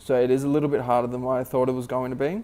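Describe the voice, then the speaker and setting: A man mumbles at a medium pitch. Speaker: vlogger. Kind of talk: casual vlog monologue. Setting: at work during night shift. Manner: halting, filler-heavy; occasional mumbling.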